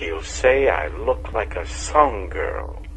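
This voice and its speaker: A man performs a put-on character voice. He goes at a very slow pace over clear background noise. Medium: read story.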